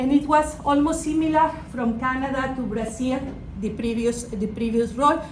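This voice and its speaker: Audible room echo surrounds a woman speaking at a high pitch and a moderate pace, with ordinary pitch variation. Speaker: business executive. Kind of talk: guest lecture. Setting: classroom with students.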